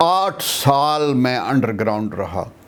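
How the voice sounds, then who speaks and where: A man is speaking, his pitch varying in an ordinary way, with noticeable noise in the background. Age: 70s. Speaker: veteran political activist, advocate. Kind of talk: interview answer. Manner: encouraging tone.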